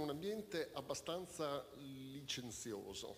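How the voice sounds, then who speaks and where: A man's speech comes with light background noise behind it. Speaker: audience member. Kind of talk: question from audience. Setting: stage with audience. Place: hall. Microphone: podium.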